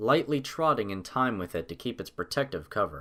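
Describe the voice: A fairly bright tone with big pitch swings. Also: man.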